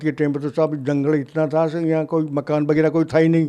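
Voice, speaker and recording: The man's voice has a dark, mellow tone. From Jaipur, Rajasthan, India. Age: 90s. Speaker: freedom fighter. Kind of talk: interview. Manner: halting.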